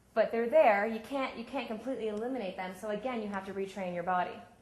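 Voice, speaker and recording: The intonation stays fairly even, with audible room echo. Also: woman. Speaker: sports psychology coach. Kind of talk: workshop talk. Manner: fast.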